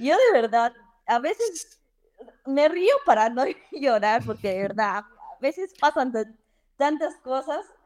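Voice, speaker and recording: A woman speaks very slowly, with long, frequent pauses. Her high pitch swings very widely. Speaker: dentist living abroad. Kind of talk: casual interview.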